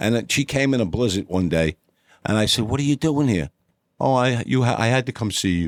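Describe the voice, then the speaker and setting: On a very clean recording with a silent background and a dry, close sound with no echo, a man with a New York accent speaks fairly quickly at a medium pitch with lively intonation. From New York City, Upper East Side (Yorkville). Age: 60s. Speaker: former prisoner telling life story. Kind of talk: interview testimony.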